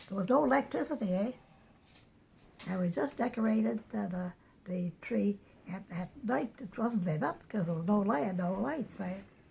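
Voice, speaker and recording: A woman's somewhat breathy, dark, mellow voice with lively intonation and long, frequent pauses. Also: medium pitch for a woman, moderate pace. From New Brunswick, Canada. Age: 90s. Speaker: elderly woman sharing memories. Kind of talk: oral history interview. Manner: halting, many repetitions and restarts.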